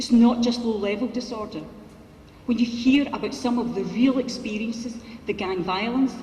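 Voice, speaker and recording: A woman with a Glasgow accent speaks at a fairly high pitch, her intonation fairly even, with audible room echo and noticeable background noise. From Scotland, Glasgow. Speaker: politician. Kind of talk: conference speech. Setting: conference hall with audience. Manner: fast.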